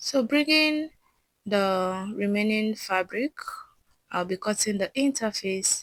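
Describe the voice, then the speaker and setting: Very slowly, a woman speaks in a dry, close sound with no echo. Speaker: sewing tutor. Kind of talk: tutorial.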